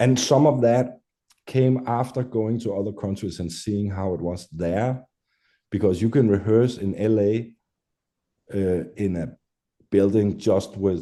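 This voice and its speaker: A man's dark, mellow voice at a fairly low pitch and fairly slow pace, with long, frequent pauses over a quiet background. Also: ordinary pitch variation. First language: Danish. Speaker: metal musician. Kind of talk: interview. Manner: halting.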